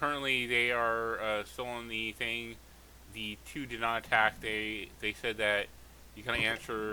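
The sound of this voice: Reading in an unforced voice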